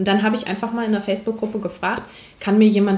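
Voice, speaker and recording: Audible room echo surrounds a woman as she speaks. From northern Germany, Hamburg. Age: 20s. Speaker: paramedic. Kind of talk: casual chat. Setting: in a roof-tent travellers' base.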